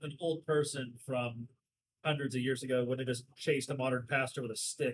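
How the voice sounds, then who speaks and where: The man's voice has a slight breathiness. He keeps a moderate speed. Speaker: podcast host, theologically knowledgeable. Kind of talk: casual chat over beers.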